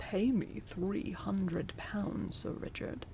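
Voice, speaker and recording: In a put-on character voice, someone speaks at a very slow pace with clear background noise behind. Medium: read story. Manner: stern, sharp.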